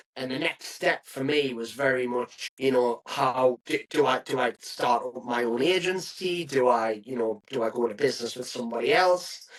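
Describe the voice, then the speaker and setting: A man speaks at a medium pitch and a moderate pace. His pitch varies in an ordinary way, with hardly any pauses. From northern England, County Durham. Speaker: property agency founder. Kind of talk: podcast interview. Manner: hesitant fillers.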